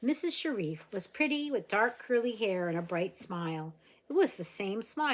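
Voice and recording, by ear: The speaker is reading aloud in a natural voice.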